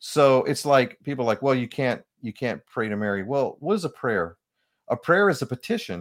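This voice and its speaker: On a very clean recording with a silent background, a man talks at a moderate pace. His medium-pitched voice makes very wide pitch swings, and the sound is dry and close with no echo. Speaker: author and spiritual counselor. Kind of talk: radio interview.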